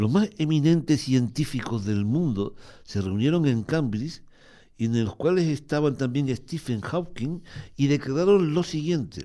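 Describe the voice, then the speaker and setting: On a very clean recording with a silent background, a man speaks fairly slowly in a fairly high pitch with a dark, mellow tone. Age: 70s. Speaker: neighbourhood association coordinator. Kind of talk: radio interview.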